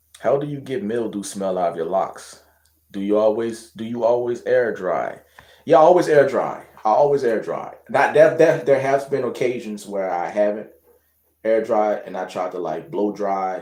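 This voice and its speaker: A man speaks at a moderate pace with lively intonation and a dark, mellow tone. The room echo is audible. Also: medium pitch for a man. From Louisiana. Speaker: hair and loc care vlogger. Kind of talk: casual livestream chat reading viewer questions. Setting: live stream at home. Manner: casual, hesitant with fillers and repetitions.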